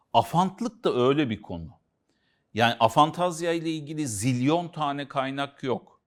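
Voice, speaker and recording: A man with a plain, everyday voice, fairly high in pitch and lively in intonation, on a very clean recording with a silent background. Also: fairly slow pace. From Central Anatolia, Turkey. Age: 50s. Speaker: author and consultant on aphantasia. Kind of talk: casual educational conversation.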